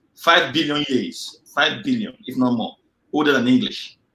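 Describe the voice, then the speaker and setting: Speaking with a Nigerian accent, a man uses a fairly high pitch that swings very widely, his tone bright and sharp. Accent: Nigerian Igbo English. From Nigeria, Igbo area (Nsukka). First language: Igbo (Nsukka dialect). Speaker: engineer. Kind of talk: interview.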